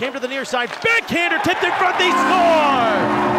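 A raised, projected voice with lively intonation carries over crowd noise in the background. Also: man. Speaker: hockey play-by-play announcer. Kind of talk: live sports play-by-play. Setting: radio broadcast.

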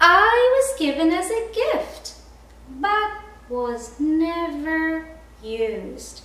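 Using a put-on character voice, a woman projects loudly at a very slow pace with very wide pitch swings. A slight echo surrounds her. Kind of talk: children's story reading. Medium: read story. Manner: bright, earnest. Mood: cheerful introduction.

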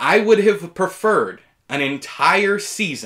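This man's voice has a bright, sharp tone. The background is quiet. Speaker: TV reviewer. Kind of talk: review commentary. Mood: opinionated, mildly exasperated. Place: home room.

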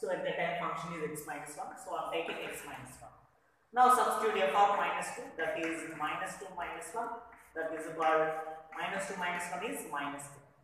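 Strong room echo and light background noise accompany a man speaking high for a man at a fairly quick pace, with big swings in loudness and ordinary pitch variation. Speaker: maths teacher. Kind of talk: lecture. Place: classroom.

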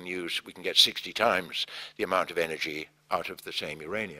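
A man speaks with a very deep, low pitch. His tone is bright and sharp, and his pace is moderate. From England. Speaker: engineer and company chairman. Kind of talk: public talk. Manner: hesitant, with many fillers.

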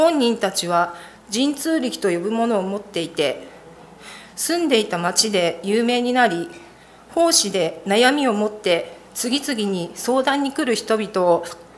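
A woman's fairly high voice at a fairly slow pace, full of very wide pitch swings. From Japan. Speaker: church member. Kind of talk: testimony. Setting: church. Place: church. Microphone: podium.

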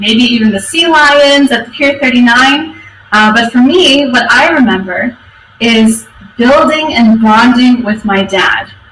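A woman with a high pitch and ordinary pitch variation speaks at a fairly slow pace, with audible room echo and light background noise. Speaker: conference speaker. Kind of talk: conference talk. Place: office. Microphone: webcam.

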